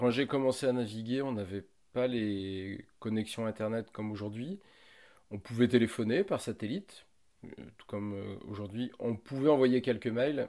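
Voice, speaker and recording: Recorded very cleanly against a silent background, a man with a dark, mellow tone talks at a moderate pace with ordinary pitch variation and big swings in loudness. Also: medium pitch for a man. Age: 40s. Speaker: merchant navy officer. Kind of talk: interview.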